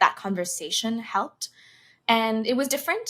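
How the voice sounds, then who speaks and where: The speaker has an American accent. The background is silent and the recording very clean. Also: woman. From United States. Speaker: singer and content creator. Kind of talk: podcast interview answer. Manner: soft-spoken.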